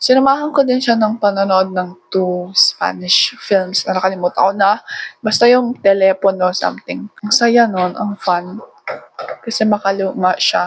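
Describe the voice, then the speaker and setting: Her pace is fairly slow. The woman's pitch is medium, with ordinary variation. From Philippines, Tagalog-speaking family. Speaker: vlogger. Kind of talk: casual vlog monologue. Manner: rambling chatty yapping.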